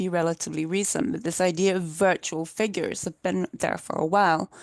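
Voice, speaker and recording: At a moderate pace, a woman speaks at a medium pitch, the sound dry and close with no echo. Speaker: academic keynote speaker. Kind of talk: lecture. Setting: video call. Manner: halting.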